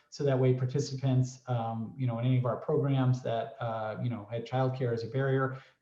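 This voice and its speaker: At a fairly quick pace, a man with a medium pitch and a dark, mellow tone sounds somewhat breathy, with audible room echo. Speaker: workforce program representative. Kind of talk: presentation in a virtual workshop. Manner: fast; many fillers, halting.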